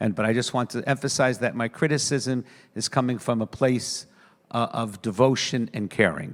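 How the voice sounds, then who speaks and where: In a very clean recording with a silent background, a normal speaking voice with an American accent talks at a moderate pace with ordinary pitch variation. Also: man, medium pitch for a man. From New York, US. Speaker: rabbi. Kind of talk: panel speech.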